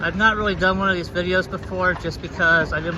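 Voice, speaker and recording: A man with a high voice speaks in a raised, projected way with fairly even intonation, against noticeable background noise. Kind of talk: casual narration to camera. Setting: outdoors. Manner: halting, some stumbling.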